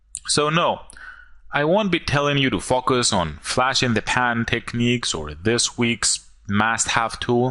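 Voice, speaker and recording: A man with a medium-pitched voice speaks in a bright, sharp tone and lively intonation. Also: fairly slow pace. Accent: non-native. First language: not English. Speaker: online marketer. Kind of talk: sales pitch.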